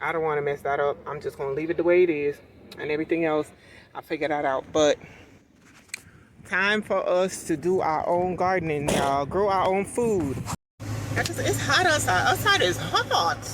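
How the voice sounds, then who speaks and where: The speaker talks at a moderate pace with long, frequent pauses over noticeable background noise. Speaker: lifestyle vlogger. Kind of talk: casual vlog talk. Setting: outdoors. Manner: loud.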